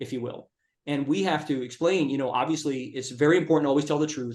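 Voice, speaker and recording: Fairly high male speech with ordinary shifts in pitch. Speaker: personal injury lawyer. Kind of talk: interview. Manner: fast.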